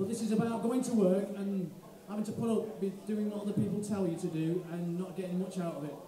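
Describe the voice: A man talks fast in a high voice with a dark, mellow tone and fairly even intonation, and audible room echo can be heard.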